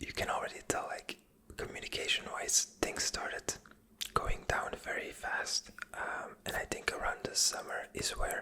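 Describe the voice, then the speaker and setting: Under noticeable background noise, a woman whispers at a fairly slow pace. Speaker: ASMR creator and web/website freelancer. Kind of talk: casual ASMR-style talk to camera about a business project. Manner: whispered, soft, with fillers and hesitations.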